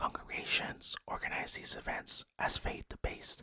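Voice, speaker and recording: Whispering in a calm tone at a very slow pace. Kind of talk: ASMR-style narration of holiday facts, relaxed whisper-tingle video. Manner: soft, whispery, calm.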